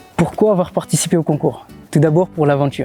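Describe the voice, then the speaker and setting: A man's fairly quick, fairly even delivery with music in the background. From Mayotte. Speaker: blogger. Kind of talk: interview answer. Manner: casual, hesitant.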